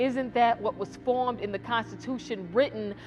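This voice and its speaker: Over music in the background, a woman with a fairly high pitch speaks at a moderate pace with ordinary pitch variation. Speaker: spoken word poet. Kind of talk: spoken word poetry performance. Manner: impassioned, rousing.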